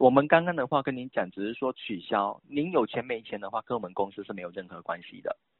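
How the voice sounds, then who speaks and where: With lively intonation and big swings in loudness, a man speaks at a very fast pace with hardly any pauses. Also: medium pitch for a man. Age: 20s. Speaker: phone scammer. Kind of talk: phone scam call. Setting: phone call. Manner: halting.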